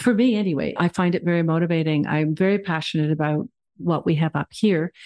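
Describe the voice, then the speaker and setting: In a quiet background with a dry, close sound and no echo, a woman with a Canadian accent speaks at a fairly low pitch, her tone dark and mellow and her intonation fairly even. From Ontario, Canada. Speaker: town councillor. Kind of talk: interview.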